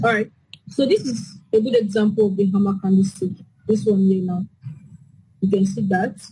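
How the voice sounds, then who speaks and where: A woman's somewhat breathy, dark, mellow voice at medium pitch, with fairly even intonation, a moderate pace and long, frequent pauses. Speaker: forex trading teacher. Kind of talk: online class Q&A. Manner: soft-spoken.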